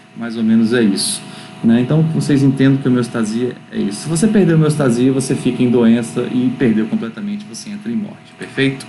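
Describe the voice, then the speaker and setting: Lively intonation comes through audible room echo and noticeable background noise. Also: man, medium pitch for a man, fairly quick pace. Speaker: university physiology lecturer. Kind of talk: online lecture. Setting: recorded on a laptop at home. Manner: fast.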